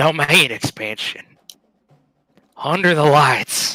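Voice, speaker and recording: A man uses a raspy, put-on character voice, fairly high in pitch and at a fairly slow pace. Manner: menacing.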